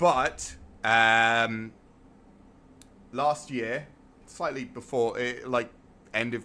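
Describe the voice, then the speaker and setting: With an English accent, a man speaks in a bright, sharp tone. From England. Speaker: gaming streamer. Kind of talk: live gameplay stream chat.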